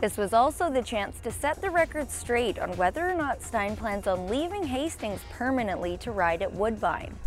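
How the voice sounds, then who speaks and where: Over music in the background, a woman with a fairly high pitch talks at a moderate pace, her pitch swinging very widely. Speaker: track announcer / racing reporter. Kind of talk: TV news-style report.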